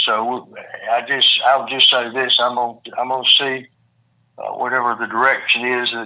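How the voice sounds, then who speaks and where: A man with a Mississippi accent speaks at a moderate pace and a medium pitch. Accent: Mississippi Southern. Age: 70s. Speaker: former judge and governor candidate. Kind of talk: interview. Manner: repetitive, halting phrasing.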